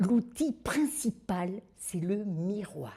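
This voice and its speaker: A woman speaks very slowly at medium pitch, her voice somewhat breathy with a dark, mellow tone. Her pitch swings very widely. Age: 70s. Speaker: retired special educator, supervisor. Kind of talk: video testimonial.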